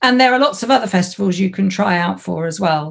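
A woman talks at a fairly quick pace in a somewhat breathy, fairly low voice. The recording is very clean, with a silent background. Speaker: comedy community founder. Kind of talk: casual chat.

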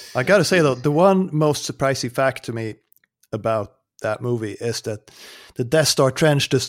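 A man with a Swedish accent, medium-pitched, with ordinary pitch variation and a moderate pace. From Sweden. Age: 40s. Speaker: game reviewer. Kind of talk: casual chat.

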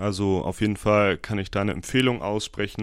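Here a man uses a normal speaking voice, fairly low in pitch, at a moderate pace. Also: very clean recording, silent background. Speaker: podcaster and university student. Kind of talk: casual solo podcast monologue.

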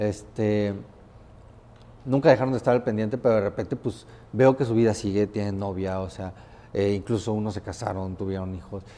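Long, frequent pauses from a man with a fairly low pitch and fairly even intonation. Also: moderate pace. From Mexico (Tempoal, Veracruz). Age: 30s. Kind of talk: interview, casual chat.

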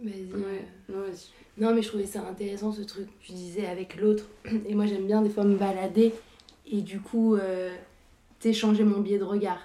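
Over noticeable background noise, a woman speaks at a fairly quick pace in a monotone, flat intonation. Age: 20s. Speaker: film student. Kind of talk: casual chat. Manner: halting.

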